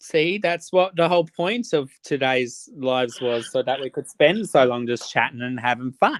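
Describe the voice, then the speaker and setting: Speaking at a moderate pace with hardly any pauses, a man with an Australian accent uses lively intonation at a fairly high pitch, recorded dry and close with no echo. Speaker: livestreamer. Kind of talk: casual chat. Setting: livestream.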